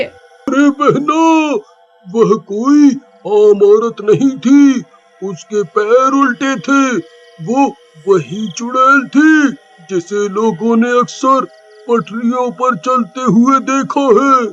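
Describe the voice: A cartoonish character voice at a very slow pace. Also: man, extremely high pitch for a man.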